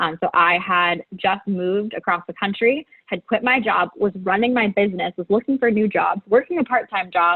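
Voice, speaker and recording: Here a woman speaks at a moderate pace with hardly any pauses. Her pitch varies in an ordinary way. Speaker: business school applicant. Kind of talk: interview. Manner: high energy; animated.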